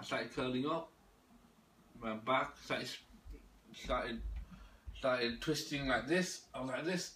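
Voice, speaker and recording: A man's medium-pitched voice carries audible room echo. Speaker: religious video maker, self-described imam. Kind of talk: personal monologue to camera. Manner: fast; halting, repetitive.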